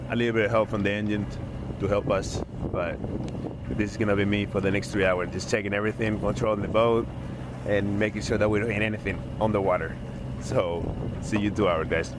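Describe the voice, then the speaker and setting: In dry sound with no echo, a man talks at a very fast pace with ordinary pitch variation while noticeable background noise is heard. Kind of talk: casual vlog chat. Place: boat. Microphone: phone near.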